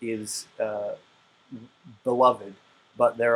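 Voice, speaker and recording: Over noticeable background noise, a man with an Appalachian accent talks at a fairly slow pace in a medium pitch. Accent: Appalachian pronunciation. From West Virginia. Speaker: co-host. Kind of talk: casual chat. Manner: halting, many fillers.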